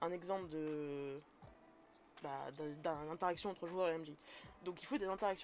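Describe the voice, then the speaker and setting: A woman at a fairly low pitch and moderate pace, her intonation fairly even, with long, frequent pauses. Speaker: streamer teaching tabletop role-playing. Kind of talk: live stream tutorial. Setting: live stream. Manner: casual, hesitant.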